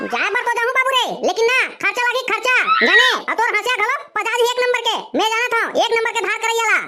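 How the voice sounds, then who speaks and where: A cartoonish character voice at a very fast pace, broken by long, frequent pauses. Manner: brash, needling.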